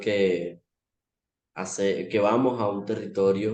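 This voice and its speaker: In a dark, mellow tone, a man speaks at a fairly low pitch with monotone, flat intonation. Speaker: community museum worker. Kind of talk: video call panel talk. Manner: hesitant, many fillers.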